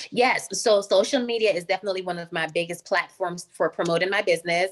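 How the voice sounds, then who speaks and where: With an American accent, a woman of medium pitch speaks at a very fast pace with fairly even intonation. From Jamaica. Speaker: skincare business founder. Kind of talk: interview.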